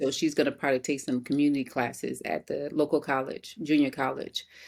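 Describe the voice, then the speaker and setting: An American accent at a moderate pace with ordinary pitch variation, on a very clean recording with a silent background. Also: woman. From New Orleans, Louisiana (Ninth Ward). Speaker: hairstylist and entrepreneur. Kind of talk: casual interview.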